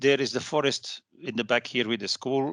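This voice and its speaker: A bright, sharp tone in a Flemish accent, fairly even in intonation, dry and close with no echo over a quiet background. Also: man. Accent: Belgian Dutch (Flemish) accent in English. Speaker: architect and professor giving a guest lecture. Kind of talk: online lecture.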